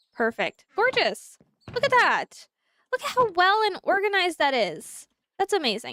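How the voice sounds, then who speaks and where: The voice is raised and projected, bright and sharp in tone, animated, with very wide pitch swings at a moderate pace. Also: woman, extremely high pitch for a woman. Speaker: gaming streamer. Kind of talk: live gameplay commentary.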